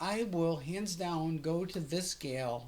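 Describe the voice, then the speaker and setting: The voice moves at a very slow pace, somewhat breathy, with ordinary pitch variation and audible echo from the room. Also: woman. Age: 60s. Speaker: vlogger documenting her gender transition. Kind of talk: casual vlog monologue. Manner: halting, repetitive fillers; animated.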